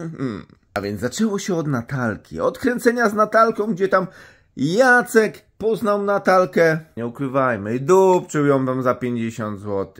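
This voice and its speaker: Over a quiet background, a man talks at a very slow pace with very wide pitch swings. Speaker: vlogger. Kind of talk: casual vlog chat, gossip storytelling. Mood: mocking, amused. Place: home room. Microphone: phone near.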